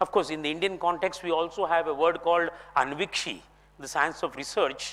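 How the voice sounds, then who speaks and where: A high-pitched man's voice with a Kannada accent. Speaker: philosophy speaker. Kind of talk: lecture. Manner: formal.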